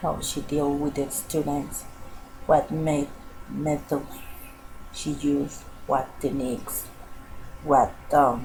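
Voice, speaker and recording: A woman's very deep, low voice in a Spanish accent, monotone and flat, at a very slow pace with long, frequent pauses and noticeable background noise. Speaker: student. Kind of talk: class project narration. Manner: halting.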